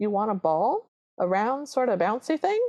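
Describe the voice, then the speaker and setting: This is a put-on character voice with a Southern accent, female-sounding and fairly high-pitched. The pace is moderate. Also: quiet background. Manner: teasing, playful.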